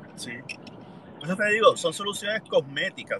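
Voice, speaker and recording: This man talks at a fairly slow pace. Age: 50s. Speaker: listener joining live audio room. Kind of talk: casual chat. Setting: live audio room on social media.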